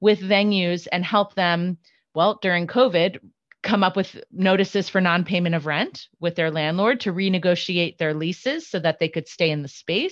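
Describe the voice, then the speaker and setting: A normal speaking voice with ordinary pitch variation proceeds at a moderate pace. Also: woman. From New York, partly raised in Florida. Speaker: executive director of a theater service organization. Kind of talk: interview.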